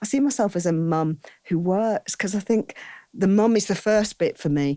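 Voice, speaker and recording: A woman speaks with a northern English accent. The recording is very clean with a silent background and a dry, close sound with no echo. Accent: broad northern English. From northern England, Saddleworth near Oldham. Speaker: wedding hair and makeup artist. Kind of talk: interview conversation. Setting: outdoors on a verandah.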